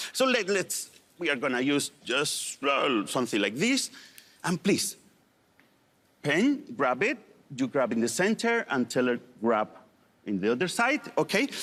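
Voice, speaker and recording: With a Spanish accent and a fairly high pitch, a man talks at a fairly slow pace with very wide pitch swings, very even loudness, and long, frequent pauses. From Spain. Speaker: magician. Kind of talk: magic performance. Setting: stage with audience. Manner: animated.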